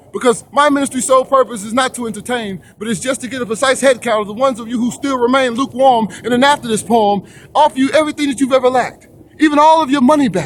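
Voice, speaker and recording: A man speaks at an extremely high pitch and a very fast pace with ordinary pitch variation. Noticeable background noise runs throughout. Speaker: spoken word poet. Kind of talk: gospel spoken word poem performance.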